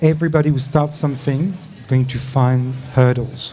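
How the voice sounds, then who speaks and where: A man speaks with a French accent over noticeable background noise. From France. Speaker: startup program leader. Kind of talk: panel discussion.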